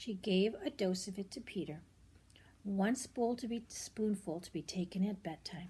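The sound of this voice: Speaking at a moderate pace, a woman has a medium-pitched voice with a dark, mellow tone, a husky, rough edge and ordinary pitch variation.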